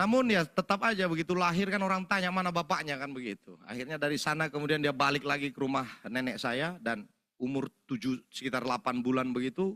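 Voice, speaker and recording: A man with a Medan accent talks at a very fast pace in an animated way, his pitch fairly high. His intonation is lively and his tone bright and sharp. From North Sumatra, Indonesia (Medan, Karo area). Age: 40s. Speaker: preacher giving testimony. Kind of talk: sermon testimony. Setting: church service.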